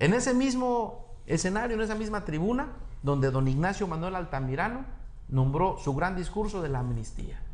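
With audible room echo and noticeable background noise, a man speaks at a moderate pace in a high pitch with very wide pitch swings. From Mexico, Acapulco (Guerrero). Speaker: plastic surgeon and campaign coordinator. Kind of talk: political interview.

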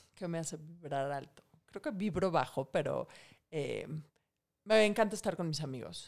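At a moderate pace with long, frequent pauses, a woman speaks fairly low with lively intonation. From Mexico. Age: 40s. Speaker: financial expert and author. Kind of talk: casual interview.

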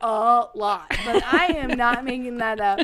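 A woman with a high pitch projects her raised voice at a fairly slow pace, with ordinary pitch variation over noticeable background noise. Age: 30s. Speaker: podcast guest, host's partner. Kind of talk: casual chat. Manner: talkative.

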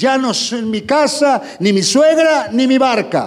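A man talks with ordinary pitch variation. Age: 60s. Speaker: pastor. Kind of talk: sermon. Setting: church.

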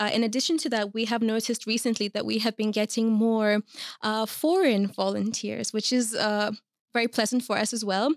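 A woman's ordinary speaking voice at a fairly high pitch, with fairly even intonation, very even loudness and a very clean recording over a silent background. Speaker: youth worker at immigrant support NGO. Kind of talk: casual interview.

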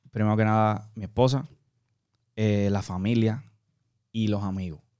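Dark, mellow tone at a moderate pace, with long, frequent pauses. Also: man. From Puerto Rico. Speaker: singer. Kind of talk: interview. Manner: halting, frequent word repetitions.

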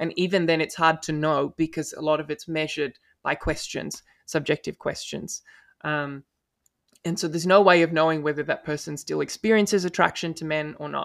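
A man's fairly high voice with an Australian accent, fairly even intonation and a fairly quick pace, dry and close with no echo, on a very clean recording with a silent background. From Australia (Melbourne). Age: 20s. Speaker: law student and paralegal. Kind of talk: interview. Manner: articulate.

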